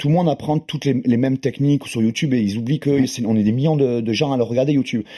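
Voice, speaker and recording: A man talks at a very fast pace with hardly any pauses. His medium-pitched voice has a dark, mellow tone and fairly even intonation. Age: 40s. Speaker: grappling and jiu-jitsu champion. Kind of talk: casual chat.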